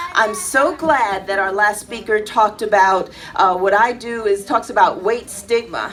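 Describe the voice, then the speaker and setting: Over music in the background, a woman speaks at a moderate pace with hardly any pauses. Her voice sits fairly high, with ordinary pitch variation. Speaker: spoken word poet. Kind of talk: casual talk to live audience.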